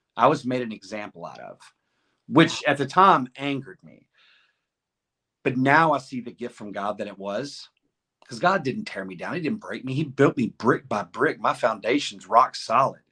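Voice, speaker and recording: In a Southern US accent, a man speaks at a medium pitch with a bright, sharp tone and lively intonation. His loudness swings widely, and the recording is very clean with a silent background. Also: moderate pace. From Arkansas. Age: 50s. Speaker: podcast guest, former prisoner. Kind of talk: interview answer.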